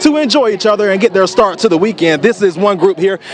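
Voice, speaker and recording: Noticeable background noise runs under this recording. A man speaks at a very fast pace. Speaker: news reporter. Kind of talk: upbeat live feature report.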